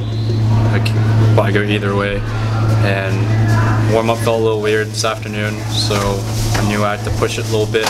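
A man speaks at a moderate pace. Loud background noise runs under his voice. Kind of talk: interview answer. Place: hall.

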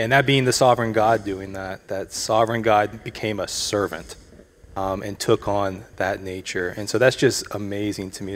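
Using a normal speaking voice, a man talks at a fairly quick pace with a fairly low pitch and fairly even intonation. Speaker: church member discussing passage. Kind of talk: casual Bible discussion. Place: stage. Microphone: handheld.

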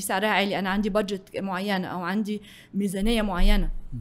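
This woman talks with an Egyptian accent. Her pitch is medium and her pace fairly quick. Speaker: business executive; guest. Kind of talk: interview. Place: studio. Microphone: studio mic.

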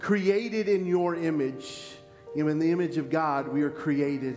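Male speech at a moderate speed over faint background music. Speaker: pastor. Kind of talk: spoken prayer and scripture reading. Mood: earnest, reverent. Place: church. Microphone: headset.

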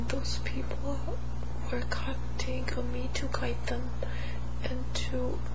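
A woman at a very slow pace, with long, frequent pauses and loud background noise. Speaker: hypnosis client. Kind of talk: hypnosis session answers. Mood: emotional, pained at times. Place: home room.

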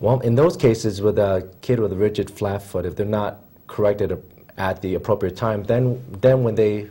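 Fairly quick and fairly even in intonation, a man speaks in a somewhat breathy, dark, mellow voice at a fairly low pitch. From Philadelphia, Pennsylvania; Pennsylvania. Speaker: podiatrist; guest. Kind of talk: TV interview. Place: studio. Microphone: lapel.

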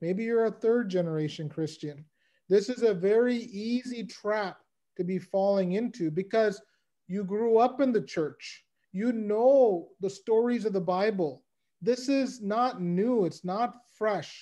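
A man with a high pitch and a dark, mellow tone talks fairly slowly, with ordinary pitch variation and a quiet background. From United States. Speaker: lay Bible teacher. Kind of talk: Bible lecture. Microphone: video call.

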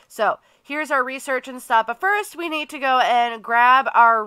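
A woman speaks at a fairly slow pace with a high pitch. Her tone is bright and sharp. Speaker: gaming YouTuber. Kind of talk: casual let's play commentary.

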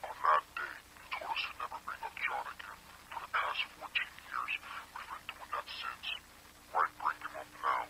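A man's put-on character voice, extremely low in pitch with little pitch movement, bright and sharp in tone, at a moderate pace with long, frequent pauses over faint background noise

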